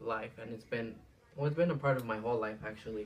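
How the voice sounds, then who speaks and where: Over noticeable background noise, a man with a Spanish accent talks with fairly even intonation. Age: 20s. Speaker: student. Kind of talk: casual monologue for class assignment. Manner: casual, hesitant with fillers.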